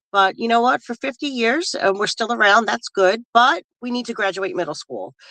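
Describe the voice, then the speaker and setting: With a fairly high pitch, a bright, sharp tone and vocal fry, a woman speaks at a moderate pace with lively intonation and hardly any pauses, in a dry, close sound with no echo. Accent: New York. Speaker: political candidate. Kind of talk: casual interview. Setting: in a car. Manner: halting, many fillers.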